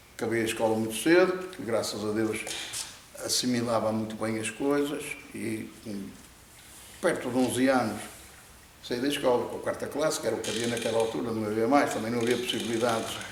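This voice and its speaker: Amid audible room echo and noticeable background noise, a man talks at a fairly quick pace with long, frequent pauses. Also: medium pitch for a man, ordinary pitch variation. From Portugal, Viana do Castelo. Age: 70s. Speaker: fisherman. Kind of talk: interview. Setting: net warehouse. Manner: halting, many repetitions.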